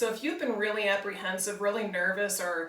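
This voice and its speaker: Fairly high, fairly quick speech from a woman amid noticeable background noise and audible room echo. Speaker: bodywork and yoga teacher. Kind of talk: tutorial. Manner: calm, relaxed.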